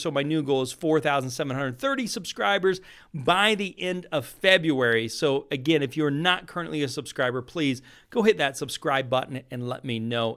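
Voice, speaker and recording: On a very clean recording with a silent background, a man talks at a fairly quick pace with lively intonation. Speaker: real estate investing coach. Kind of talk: live stream talk to viewers. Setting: live video stream. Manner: fast.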